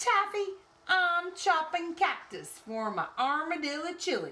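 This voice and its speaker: In a put-on character voice, a woman speaks fairly slowly at an extremely high pitch with lively intonation. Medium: read story. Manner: folksy.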